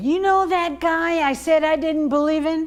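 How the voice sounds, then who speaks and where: A woman uses a put-on character voice with an extremely high pitch, fairly even intonation and very even loudness. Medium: stage play. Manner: gruff, stubborn.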